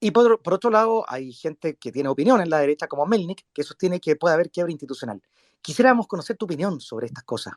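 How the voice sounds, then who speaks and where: Speaking at a very fast pace, a man uses a high pitch with very wide pitch swings, recorded dry and close with no echo. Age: 40s. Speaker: podcast host. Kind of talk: interview.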